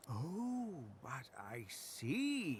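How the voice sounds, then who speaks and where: This is a put-on character voice. Clear background noise sits behind it. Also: man, fairly high pitch for a man. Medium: video game. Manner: pompous, fussy, old-fashioned exclamations.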